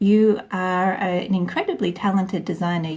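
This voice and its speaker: A woman with an Australian accent speaks at a fairly slow pace and medium pitch. Her tone is dark and mellow, and somewhat breathy. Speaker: podcast host. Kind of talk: interview.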